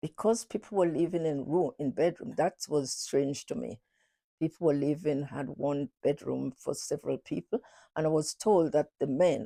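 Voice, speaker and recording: A woman with a very deep, low pitch and a dark, mellow tone talks at a moderate pace with lively intonation and vocal fry, in a dry, close sound with no echo. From Carriacou, Grenada. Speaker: oral history interviewee. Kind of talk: interview recollection. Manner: halting.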